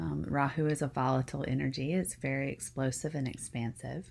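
On a very clean recording with a silent background, a woman speaks in a relaxed tone at a very deep, low pitch with vocal fry. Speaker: spiritual podcast host, Vedic astrology teacher. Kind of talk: solo spiritual talk. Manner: unpolished, relaxed with filler ums.

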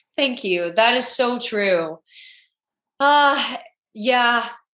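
A high-pitched woman with a bright, sharp tone and lively intonation, a very slow pace with long, frequent pauses, and audible room echo. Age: 20s. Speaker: podcast host. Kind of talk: casual interview chat. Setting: video call.

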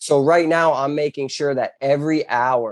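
In an American accent, a man speaks with fairly even intonation against a quiet background, the sound dry and close with no echo. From US South, southwest Florida (Bonita Springs). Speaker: handyman business owner. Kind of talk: casual interview.

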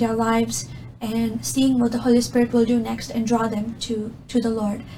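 Audible room echo colors the recording. A woman speaks at a moderate pace. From Middle East. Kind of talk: testimony.

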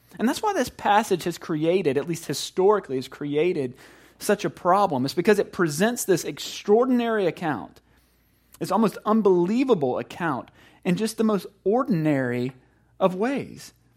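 On a very clean recording with a silent background, a man with a high pitch and lively intonation speaks with a slight Southern US accent. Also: moderate pace. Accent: country Southern US, slight. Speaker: pastor. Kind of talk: sermon. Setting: church. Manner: conversational, informal.

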